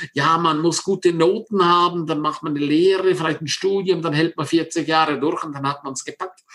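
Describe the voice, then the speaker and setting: A man's high-pitched voice with hardly any pauses, over noticeable background noise. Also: moderate pace. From Switzerland, Engadin (St. Moritz). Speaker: success coach. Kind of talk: interview. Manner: animated.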